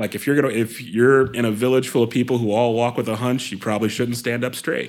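An ordinary speaking voice from a man with an American accent, medium pitch and a fairly quick pace. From US Midwest, Columbus, Ohio. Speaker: actor. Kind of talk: interview.

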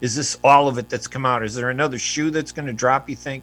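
This man has an unremarkable speaking voice, a medium pitch and fairly even intonation. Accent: American. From US, Palestinian heritage. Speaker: radio host and journalist. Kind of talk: radio interview. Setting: radio studio streamed on Facebook video.

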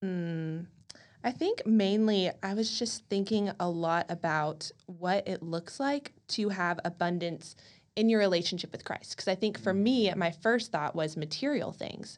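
A woman with an American accent and an ordinary speaking voice talks at a fairly slow pace. Her medium pitch shows ordinary variation against a quiet background. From College Station, Texas. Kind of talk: casual faith discussion.

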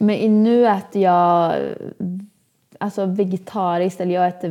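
In a very clean recording with a silent background, a woman speaks in a dark, mellow tone, her fairly low pitch carried with fairly even intonation. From Sweden, Åmål (Dalsland). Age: 20s. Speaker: social media influencer and fitness entrepreneur. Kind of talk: casual interview.

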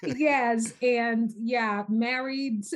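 A somewhat breathy voice over a quiet background. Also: woman. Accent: American. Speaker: podcast guest, researcher. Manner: warm, conversational, frequent filler phrases.

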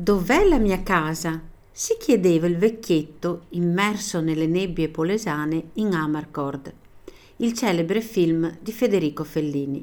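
An unremarkable speaking voice at a fairly slow pace with ordinary pitch variation. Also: woman, fairly low pitch for a woman. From Italy, Veneto. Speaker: teacher. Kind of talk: scripted narration.

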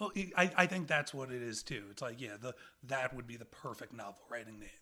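A man speaks at a fairly quick pace in a gravelly voice with a bright, sharp tone. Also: medium pitch for a man, ordinary pitch variation.

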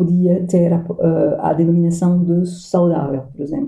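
At a fairly slow pace, the voice sounds somewhat breathy with a dark, mellow tone. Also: woman. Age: 50s. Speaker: coach and NLP trainer. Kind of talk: casual interview. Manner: halting, frequent repetitions.

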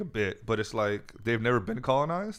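A man at medium pitch, fairly quick and lively in intonation, on a very clean recording with a silent background. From US Bay Area. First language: Farsi. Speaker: comedian. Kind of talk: casual chat.

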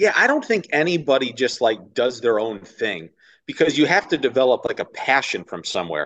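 A man with an American accent talks at a medium pitch with vocal fry. His voice makes very wide pitch swings. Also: fairly quick pace. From upstate New York (Ithaca). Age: 30s. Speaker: baseball radio play-by-play announcer. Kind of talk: casual interview chat. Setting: video call.

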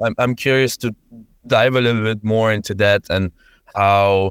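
A man speaks at a moderate pace with fairly low pitch and fairly even intonation. The recording is very clean with a silent background and a dry, close sound with no echo. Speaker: tech recruitment consultant and podcast host. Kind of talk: interview.

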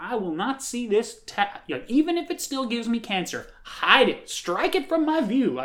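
A female-sounding voice puts on a character voice, pitched high for a woman and delivered at a moderate pace. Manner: indignant, dismissive.

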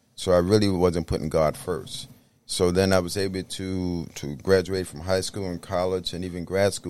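On a very clean recording with a silent background, a man with an American accent speaks in a very deep, low pitch. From New York City, the Bronx. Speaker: minister and clinical counselor. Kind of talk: podcast interview.

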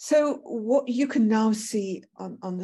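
A woman speaks at a very slow pace in a dark, mellow tone that is somewhat breathy. The background is quiet. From Britain. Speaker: professor. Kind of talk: lecture. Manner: halting.

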